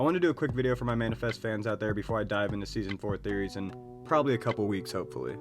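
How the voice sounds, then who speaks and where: Over music in the background, a man with a medium pitch talks very fast with ordinary pitch variation. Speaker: YouTuber, TV show commentator. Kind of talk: casual vlog commentary. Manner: casual, informal.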